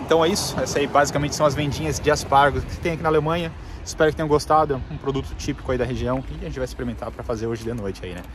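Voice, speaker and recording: The speech comes at a very fast pace with ordinary pitch variation and big swings in loudness. Noticeable background noise sits behind it. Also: man, dry sound with no echo. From Brazil. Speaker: travel vlogger. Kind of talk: casual vlog narration. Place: street. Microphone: phone near.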